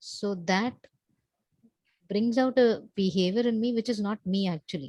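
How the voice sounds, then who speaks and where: Soft-spoken and somewhat breathy, a woman talks at a medium pitch and a moderate pace with a dark, mellow tone and ordinary pitch variation, in a dry, close sound with no echo. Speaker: coaching client. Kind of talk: one-on-one coaching session. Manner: halting.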